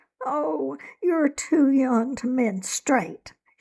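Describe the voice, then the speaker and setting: In a put-on character voice, a woman swings her high pitch very widely. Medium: read story. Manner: fretful, disapproving.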